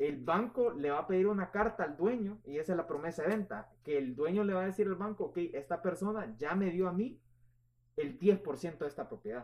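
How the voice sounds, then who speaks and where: There is lively intonation in this man's high-pitched voice. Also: moderate pace. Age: 20s. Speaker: real estate agent. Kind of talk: interview.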